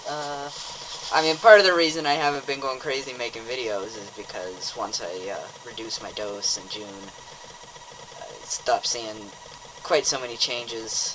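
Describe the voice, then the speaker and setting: Noticeable background noise behind a man at medium pitch, with lively intonation and a fairly slow pace. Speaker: vlogger. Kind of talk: video diary. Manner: halting, many fillers.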